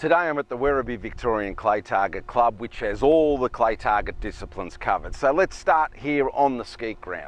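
A man speaks at a fairly quick pace. He leaves hardly any pauses. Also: lively intonation, dry sound with no echo. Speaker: shotgun coach. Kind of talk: tutorial. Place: open country. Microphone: lapel.

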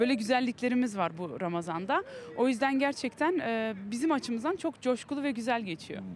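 Very wide pitch swings mark this fairly quick delivery, recorded in a dry sound with no echo over light background noise. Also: woman, high pitch for a woman. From Belgium. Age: 20s. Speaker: community volunteer; interviewee. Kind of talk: street interview. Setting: outdoors in a city square. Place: open country. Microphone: handheld.

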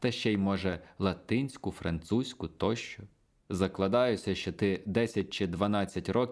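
Someone reads here. The voice is a natural reading voice.

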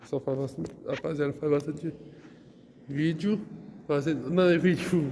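A man talks with ordinary pitch variation. Light background noise sits underneath. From Brazil, Santos (São Paulo coast); São Paulo, Brazil. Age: 20s. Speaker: vlogger. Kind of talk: casual vlog walkthrough. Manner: halting, repetitive. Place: hall. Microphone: phone near.

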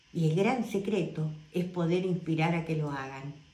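Speaking at a very slow pace, a woman with a fairly low voice uses ordinary pitch variation, and room echo is audible. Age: old. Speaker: wellness guide. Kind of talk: casual talk to camera. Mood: warm, grateful, earnest. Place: home room. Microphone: phone near.

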